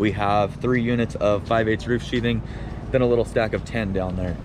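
A man at a fairly quick pace with fairly even intonation, in a dry sound with no echo and noticeable background noise. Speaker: carpenter vlogger. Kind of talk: casual vlog chat. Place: street. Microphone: phone near.

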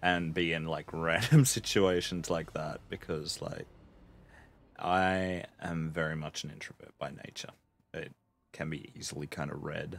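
A man's very deep, low pitch at a moderate pace. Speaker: gaming streamer. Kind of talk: casual vlog chat. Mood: a bit nervous, laughing.

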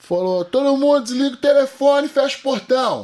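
The man's pitch is extremely high, and his intonation stays fairly even. Behind him the background is quiet. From interior of São Paulo state, Brazil. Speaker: jiu-jitsu athlete and fitness influencer; fitness influencer. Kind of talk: casual interview chat. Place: studio. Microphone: studio mic.

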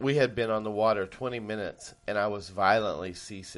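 Plain reading aloud in a fairly even intonation.

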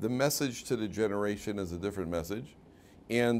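With a Chicago accent, a man talks at a fairly quick pace. His pitch varies in an ordinary way. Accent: Chicago American English. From US Midwest (Chicago). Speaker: rabbi and Torah teacher; rabbi, Torah teacher. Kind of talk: lecture. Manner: conversational, interactive with audience. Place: classroom.

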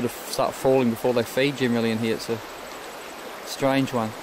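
With a monotone, flat delivery, a man talks at a fairly quick pace over noticeable background noise, the sound dry with no echo. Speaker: fishing guide filming. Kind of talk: commentary. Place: waterside. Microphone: phone near.

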